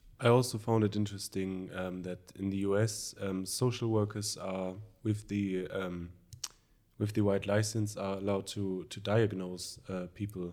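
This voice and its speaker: A man with a German accent speaks at a moderate pace. His tone is dark and mellow, his intonation monotone and flat. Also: fairly low pitch for a man. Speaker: social work student. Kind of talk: conversational interview. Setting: studio. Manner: halting.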